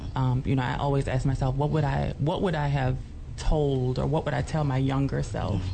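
Noticeable background noise runs through the clip. The speaker talks at a fairly quick pace. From New Orleans, Louisiana. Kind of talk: interview.

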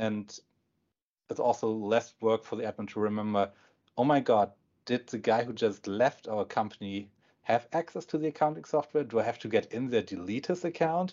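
A man with a German accent speaks at a moderate pace. His pitch is medium and his intonation lively. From northern Germany. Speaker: software company executive. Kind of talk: interview answers.

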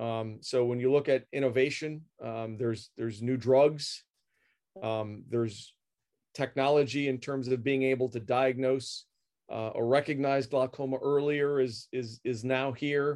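Against a quiet background, a man speaks fairly slowly at a medium pitch in a monotone, flat intonation. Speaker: optometrist specializing in glaucoma. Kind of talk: interview.

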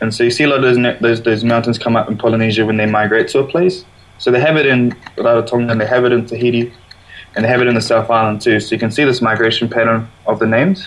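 Very fast and at a very even loudness, a man speaks at medium pitch with fairly even intonation over noticeable background noise. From New Zealand. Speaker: artist. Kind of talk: casual interview. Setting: video call.

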